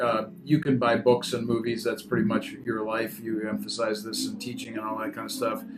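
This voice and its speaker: Music plays in the background. A man talks at a fairly quick pace with hardly any pauses. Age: 60s. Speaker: radio host. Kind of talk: casual chat; radio show intro.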